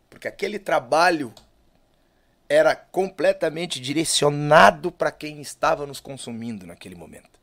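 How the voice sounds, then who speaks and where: Using an unremarkable speaking voice, a man talks at a moderate pace with a fairly high pitch, lively intonation and big swings in loudness. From southern Brazil (Lages, Santa Catarina). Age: 40s. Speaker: musician, singer and guitarist. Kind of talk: casual interview chat.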